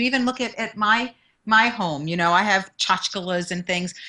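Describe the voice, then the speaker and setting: A woman with a New York accent speaks at a moderate pace in a bright, sharp tone with ordinary pitch variation. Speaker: motivational speaker and confidence mentor. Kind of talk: interview.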